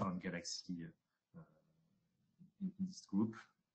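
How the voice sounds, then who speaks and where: Speaking fairly slowly, a man talks in a French accent. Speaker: researcher. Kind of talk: webinar presentation. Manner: halting, many fillers.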